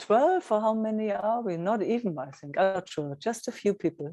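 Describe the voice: The voice has a dark, mellow tone and lively intonation, moving at a moderate pace. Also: woman, medium pitch for a woman.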